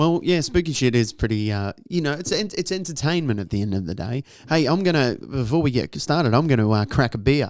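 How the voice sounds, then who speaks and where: In an Australian accent, this speaker moves at a fairly quick pace with hardly any pauses and very wide pitch swings. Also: man, medium pitch for a man. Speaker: podcast co-host. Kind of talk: casual chat. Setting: podcast studio.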